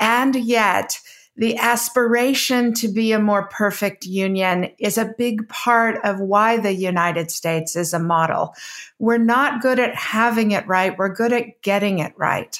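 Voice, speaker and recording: This woman has an ordinary speaking voice, fairly high in pitch with ordinary pitch variation and very even loudness. She talks at a fairly slow pace in a very clean recording with a silent background. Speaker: debater and former government official. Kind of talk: moderated debate.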